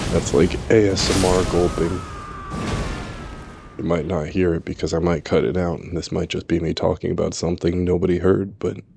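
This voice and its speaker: Over background music, a man talks at a moderate pace in a very deep, low voice with monotone, flat intonation. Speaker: gaming video creator. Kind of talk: let's play gameplay commentary.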